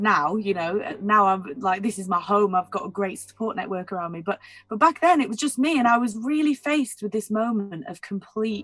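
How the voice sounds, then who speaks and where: A woman's fairly high voice at a moderate pace. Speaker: singer and record label director. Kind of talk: interview. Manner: halting, many restarts and fillers.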